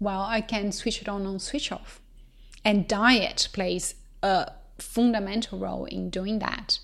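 Her delivery is fairly slow. This woman talks with a Portuguese accent. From Brazil. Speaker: company co-founder. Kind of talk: interview.

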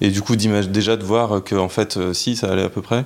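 With fairly even intonation, a man talks in a fairly low pitch at a moderate pace. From France, Lyon. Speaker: interview guest sharing personal story. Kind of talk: personal testimony. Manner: hesitant, many fillers.

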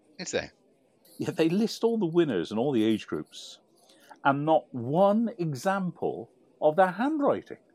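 With a British accent, a man speaks in a high voice that swings very widely in pitch. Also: big swings in loudness. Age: 60s. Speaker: podcast co-host. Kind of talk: casual chat.

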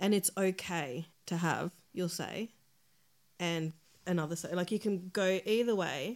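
On a very clean recording with a silent background, a woman with a fairly low pitch speaks at a fairly slow pace, with ordinary pitch variation and long, frequent pauses. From Australia, born in El Salvador. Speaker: podcast guest, mother. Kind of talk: casual chat.

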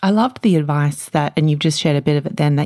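At a fairly quick pace, a woman with a very deep, low pitch and ordinary pitch variation speaks in a very clean recording with a silent background. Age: 30s. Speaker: podcast host. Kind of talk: interview.

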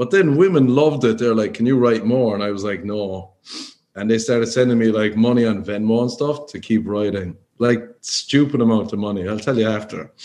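A man speaks at a fairly quick pace in a dark, mellow tone. His pitch sits in the medium range and varies an ordinary amount. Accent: Cork. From Ireland, Cork. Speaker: stand-up comedian. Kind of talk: casual chat.

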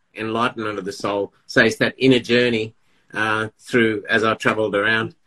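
A man's medium-pitched voice, bright and sharp in tone, with monotone, flat intonation. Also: moderate pace, dry, close sound with no echo. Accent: Australian. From Melbourne, Australia. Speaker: poet and author.

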